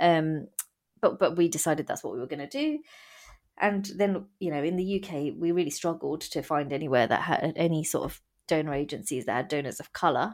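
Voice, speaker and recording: On a very clean recording with a silent background, a woman with an English accent speaks at a fairly quick pace in a very deep, low pitch with ordinary pitch variation. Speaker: guest sharing fertility journey. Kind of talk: testimony.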